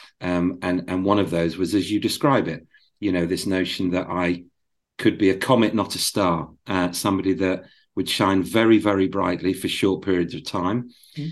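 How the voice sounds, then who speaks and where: A man with a British accent speaks at a moderate pace in a very deep, low voice. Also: ordinary pitch variation, quiet background. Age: 50s. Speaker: former advertising agency CEO. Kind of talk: interview. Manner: halting, repeats words.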